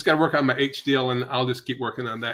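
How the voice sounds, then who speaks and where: The voice belongs to a man of medium pitch with a bright, sharp tone. His intonation is fairly even. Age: 50s. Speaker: carnivore diet content creator. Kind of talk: casual chat.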